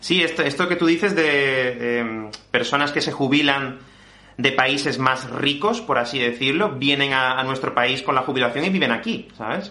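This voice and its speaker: A man speaks at a moderate pace with a fairly high pitch and ordinary pitch variation. Noticeable background noise and audible room echo are present. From Spain. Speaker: Spanish teacher and podcast host. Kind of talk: interview podcast for language learners.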